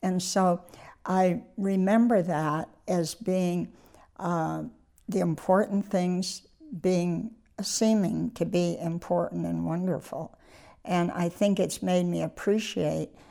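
In a very clean recording with a silent background, someone with an American accent speaks at a very slow pace in a dark, mellow tone with fairly even intonation. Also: woman, fairly low pitch for a woman. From US Northeast, northern Maine. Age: 80s+. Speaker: retiree interviewee. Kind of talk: casual interview. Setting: indoors, dining area. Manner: halting.

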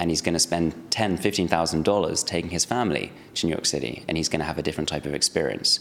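A man with a London accent is speaking. His pace is very fast. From London, England. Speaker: startup CEO. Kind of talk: interview.

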